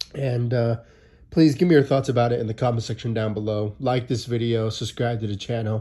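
A man speaks with a dark, mellow tone that is somewhat breathy. His intonation stays fairly even over a quiet background. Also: medium pitch for a man, fairly quick pace. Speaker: sports YouTuber. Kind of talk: angry sports rant, video commentary. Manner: dejected, exasperated, repetitive.

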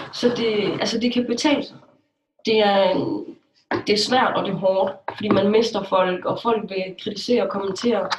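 Using a normal speaking voice, a woman talks at a fairly slow pace with a fairly high pitch. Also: ordinary pitch variation. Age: 20s. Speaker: blogger. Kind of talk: interview.

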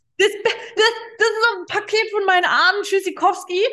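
At a fairly slow pace, a woman speaks in a raised, projected voice with a bright, sharp tone. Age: 40s. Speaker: holistic therapist and past-life regression practitioner. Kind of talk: interview.

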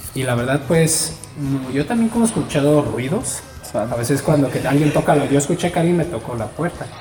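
A man with a Mexican accent talks at a fairly quick pace with ordinary pitch variation. Audible room echo and noticeable background noise fill the recording. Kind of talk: casual chat.

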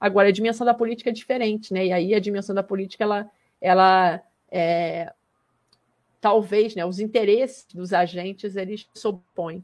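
Speaking at a moderate pace, a woman has an unremarkable speaking voice with medium pitch and fairly even intonation. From Brazil, Saquarema (Rio de Janeiro state). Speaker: geography professor. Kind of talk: casual interview.

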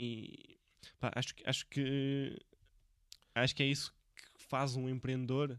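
A man's medium-pitched voice at a fairly slow pace. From Portugal, Viseu. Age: 20s. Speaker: podcast host. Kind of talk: casual interview. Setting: Viseu.

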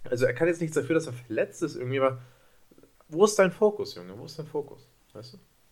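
Speaking very fast yet with long, frequent pauses, a fairly high-pitched man uses lively intonation and big swings in loudness. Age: 20s. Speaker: basketball podcast co-host, student. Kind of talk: casual chat.

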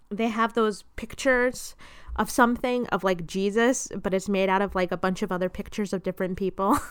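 The pace is fairly quick. A woman talks at a medium pitch. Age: 20s. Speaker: podcast host. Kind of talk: casual chat. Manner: animated.

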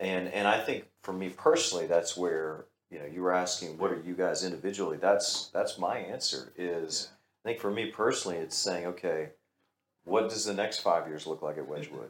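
A man with a Texan accent and a very deep, low pitch, speaking fairly quickly with ordinary pitch variation. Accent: Texan American English. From Texas. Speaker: pastor. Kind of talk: casual chat.

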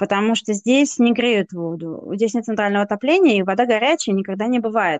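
At a moderate pace, a woman with a normal speaking voice talks in a fairly high pitch with ordinary pitch variation, the sound dry and close with no echo. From Russia. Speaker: podcast co-host. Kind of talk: casual chat.

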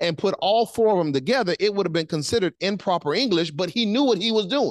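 A man with a Southern US accent, an animated tone and very wide pitch swings, dry and close with no echo, over a quiet background. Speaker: pastor. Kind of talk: sermon. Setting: church.

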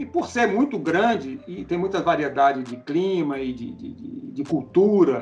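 A man with a high pitch speaks with very wide pitch swings over noticeable background noise. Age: 50s. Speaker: cattle and goat farmer. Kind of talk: casual interview.

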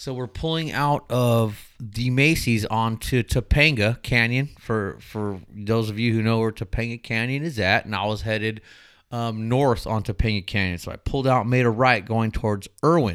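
A man with a medium pitch speaks in an ordinary speaking voice at a moderate pace, with ordinary pitch variation and hardly any pauses. The recording is very clean, with a silent background. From Southern California, Inland Empire. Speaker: former loss prevention agent. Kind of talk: casual chat.

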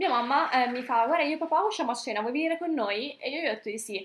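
A high-pitched woman speaks with lively intonation. Background noise can be clearly heard. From northern Italy, Brescia. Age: 20s. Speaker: medical student and fitness coach. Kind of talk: casual chat.

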